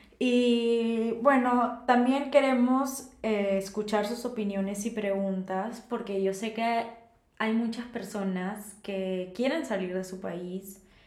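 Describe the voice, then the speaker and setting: Very slow, fairly even speech with noticeable background noise and audible room echo. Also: woman. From Peru, Lima. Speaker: podcast co-host, architect. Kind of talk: casual chat.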